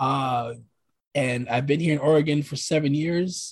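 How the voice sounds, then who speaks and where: In an American accent, a man speaks at a fairly high pitch with a somewhat breathy voice and fairly even intonation. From New York City, Brooklyn. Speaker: podcast host. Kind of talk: casual chat.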